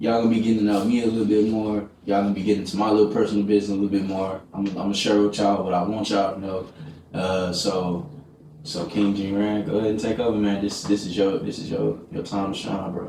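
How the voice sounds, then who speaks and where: Delivered at a very fast pace in a flat monotone with an American accent, the speech carries audible room echo and noticeable background noise. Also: man, fairly low pitch for a man. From Texas, small town near Dallas. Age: 20s. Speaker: podcast host. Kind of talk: casual interview.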